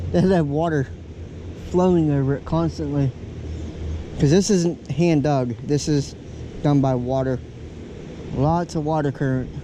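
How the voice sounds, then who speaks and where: With a Southern US accent, a man talks at a fairly slow pace and fairly high pitch, using ordinary pitch variation and long, frequent pauses. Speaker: outdoor vlogger. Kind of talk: casual vlog narration. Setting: outdoors by a river.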